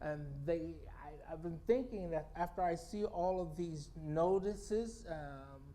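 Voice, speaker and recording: Speech at a fairly slow pace carries audible room echo and noticeable background noise. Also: man. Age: 60s. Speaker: guest speaker at spiritual center. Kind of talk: inspirational talk. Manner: halting, with many restarts.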